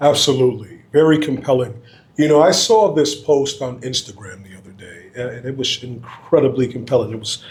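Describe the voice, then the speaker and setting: A man speaks at a fairly quick pace, somewhat breathy, with ordinary pitch variation. His loudness swings widely. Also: medium pitch for a man. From US Northeast. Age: 40s. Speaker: podcast host. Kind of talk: casual interview.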